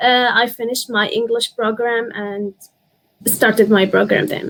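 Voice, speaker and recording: A woman speaks with an Arabic accent and a fairly high pitch. Her delivery is fairly slow and monotone, with flat intonation. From Syria. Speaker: university student. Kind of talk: interview. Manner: halting, many fillers.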